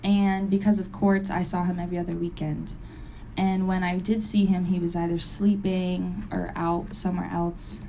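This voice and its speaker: Amid audible room echo, a woman with an American accent talks at a moderate pace and medium pitch in a monotone, flat intonation. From Springfield, Massachusetts. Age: 20s. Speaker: recovery meeting speaker. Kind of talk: testimony.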